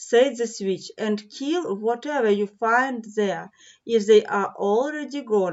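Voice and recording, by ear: Someone reads aloud in a natural voice that has ordinary pitch variation.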